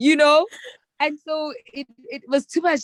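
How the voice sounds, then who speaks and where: A woman talks loudly with a South African accent and a high pitch. Her animated tone sits in a dry, close sound with no echo. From South Africa, Soweto. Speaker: public relations strategist. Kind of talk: casual chat.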